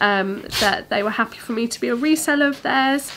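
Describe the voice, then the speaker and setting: There is noticeable background noise. A woman speaks over it at a moderate pace. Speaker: fabric shop owner and sewing presenter. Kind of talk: product showcase tutorial. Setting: studio. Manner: casual, chatty with filler words.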